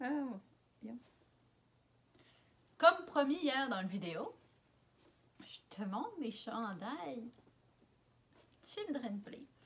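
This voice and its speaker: In a Quebec accent, a woman speaks at a very slow pace with a high pitch, very wide pitch swings, big swings in loudness and long, frequent pauses. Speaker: vlogger. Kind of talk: casual talk to camera. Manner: playful, joking.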